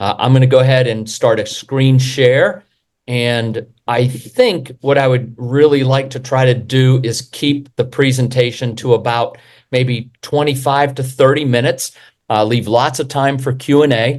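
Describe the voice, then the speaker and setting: A man of medium pitch with fairly even intonation. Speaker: real estate developer. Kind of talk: presentation. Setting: video call webinar. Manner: fast.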